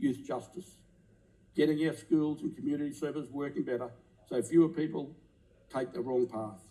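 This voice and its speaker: A fairly quick-paced man with an Australian accent, fairly high in pitch, with a dark, mellow tone and ordinary pitch variation. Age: 60s. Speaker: politician. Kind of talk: parliamentary maiden speech. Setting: parliament chamber. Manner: impassioned; formal.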